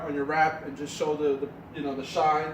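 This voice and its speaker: A man with a New York accent speaks at a fairly quick pace and a fairly high pitch. His intonation is flat and monotone, and there is noticeable background noise. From New York City. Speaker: car detailing hobbyist; car detailing vlogger. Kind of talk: casual how-to talk to camera. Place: garage. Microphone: camera far.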